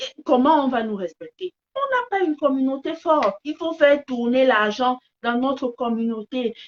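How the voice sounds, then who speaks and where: In a Cameroonian accent, a woman speaks at a fairly slow pace in a high, animated voice with lively intonation and a dry, close sound with no echo. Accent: Cameroonian French accent, kept on purpose. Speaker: live streamer, business commentator. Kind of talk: live stream monologue. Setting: phone live stream. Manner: repetitive stammering restarts.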